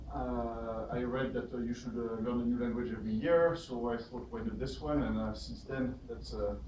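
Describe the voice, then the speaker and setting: A man is speaking over noticeable background noise. His voice carries audible room echo. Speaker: software speaker, meetup organizer. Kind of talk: workshop talk to audience. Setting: meetup room with live audience. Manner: speaks faster when excited.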